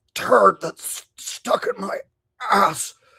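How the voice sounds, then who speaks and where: A man puts on a raspy, strained character voice. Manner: strained, pained.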